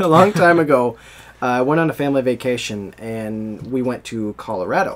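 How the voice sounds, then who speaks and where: A man with an American accent speaks at a medium pitch and a fairly quick pace. Noticeable background noise runs underneath. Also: lively intonation. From United States. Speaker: podcast host. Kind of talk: casual chat.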